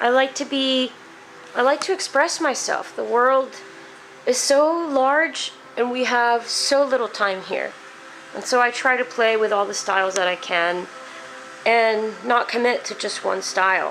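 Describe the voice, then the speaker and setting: Amid noticeable background noise, a woman speaks at a fairly slow pace in a high pitch with lively intonation. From Mexico. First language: Spanish. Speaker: painter. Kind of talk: casual talk about own artwork. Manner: hesitant, many fillers.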